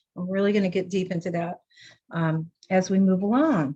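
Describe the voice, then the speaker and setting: The woman's medium-pitched voice is somewhat breathy. Her pace is moderate. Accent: American. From US West Coast, San Diego. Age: 60s. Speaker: author and juicing teacher. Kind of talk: lecture. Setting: video call. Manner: casual, conversational with fillers.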